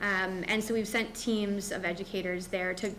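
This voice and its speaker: Audible room echo surrounds a woman's voice. She speaks at a medium pitch with fairly even intonation. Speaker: school district administrator. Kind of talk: board meeting presentation. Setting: school board meeting.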